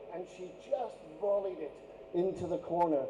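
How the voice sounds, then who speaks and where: A man's voice with noticeable background noise. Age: 60s. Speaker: former teacher. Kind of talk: anniversary speech.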